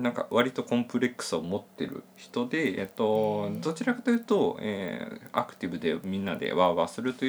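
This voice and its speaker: This man speaks at a fairly quick pace and a medium pitch, making very wide pitch swings and hardly any pauses. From Hyogo, Japan. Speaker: freelance IT engineer and podcast co-host. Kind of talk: casual chat. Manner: hesitant, many fillers.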